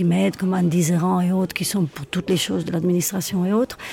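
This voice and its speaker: A woman's fairly low-pitched voice against noticeable background noise. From Spain, Madrid. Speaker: singer, actress and theatre school director. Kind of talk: interview.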